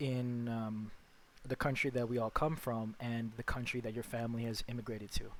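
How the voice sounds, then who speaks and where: Here a man speaks with an American accent at a medium pitch. He keeps a moderate pace and a monotone, flat intonation. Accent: American with Filipino background. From Philippines and Las Vegas. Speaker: podcast co-host. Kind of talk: casual chat.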